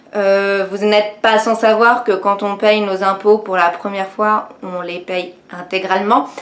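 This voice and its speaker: With noticeable background noise, a woman talks at a very slow pace and medium pitch, in monotone, flat intonation with hardly any pauses. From France, Nancy (Lorraine). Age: 20s. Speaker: beauty youtuber and network marketing seller. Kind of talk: personal testimony vlog. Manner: hesitant, many fillers (euh, bah).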